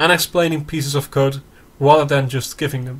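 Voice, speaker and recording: Somewhat breathy, with a non-native accent. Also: man. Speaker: programming tutorial maker. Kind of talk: tutorial. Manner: halting.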